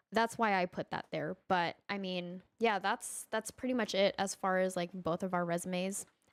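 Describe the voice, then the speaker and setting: A woman with a plain, everyday voice speaks at a moderate pace, with a medium pitch and ordinary pitch variation. The sound is dry and close with no echo, in a very clean recording with a silent background. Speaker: software developer. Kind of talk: casual chat.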